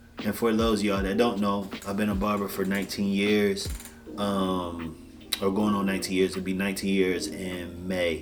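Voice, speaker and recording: The delivery is monotone and flat, at a moderate pace. There is audible room echo along with noticeable background noise. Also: man, fairly low pitch for a man. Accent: American. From Washington DC area. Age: 30s. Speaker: barber and life coach. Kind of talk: casual vlog monologue.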